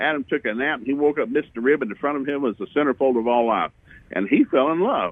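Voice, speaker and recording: A man with a fairly high pitch is heard. He speaks at a very fast pace. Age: 60s. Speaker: minister. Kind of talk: interview. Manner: animated.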